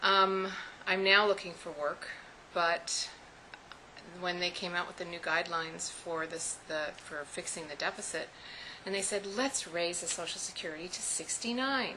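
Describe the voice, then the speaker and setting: Amid noticeable background noise, a woman with a fairly low pitch speaks at a moderate pace with ordinary pitch variation and big swings in loudness. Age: 60s. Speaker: small business owner. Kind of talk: personal testimony.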